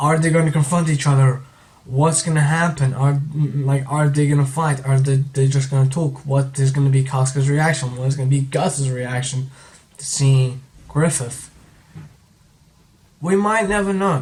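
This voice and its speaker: Quiet and at a moderate pace, a man with a fairly high pitch speaks in fairly even intonation, with audible room echo. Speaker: manga reviewer. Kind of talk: video review commentary. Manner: subdued, halting.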